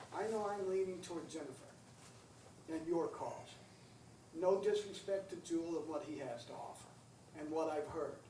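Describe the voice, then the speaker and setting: In a room with audible echo and noticeable background noise, a man with a high pitch speaks at a moderate pace, with ordinary pitch variation and long, frequent pauses. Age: 60s. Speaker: county council member. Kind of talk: public meeting discussion. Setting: county council meeting.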